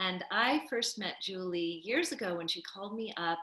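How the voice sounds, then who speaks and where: A woman with a bright, sharp tone speaks at a fairly slow pace. Audible room echo sits over a quiet background. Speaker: childbirth educator and doula. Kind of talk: casual interview chat. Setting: video call. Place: home room. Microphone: video call.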